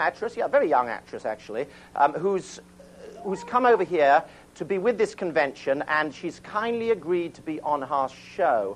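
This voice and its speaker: Over noticeable background noise, a high-pitched man with an English accent talks at a moderate pace with lively intonation. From England. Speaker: children's TV show host. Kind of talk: studio audience banter and introduction. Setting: TV studio with kids audience. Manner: animated.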